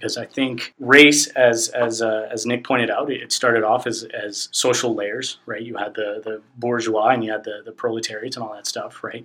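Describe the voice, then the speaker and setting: In a monotone, flat voice, a man talks with hardly any pauses. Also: medium pitch for a man, moderate pace, big swings in loudness. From Spanish-speaking background. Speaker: podcast guest. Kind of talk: casual chat.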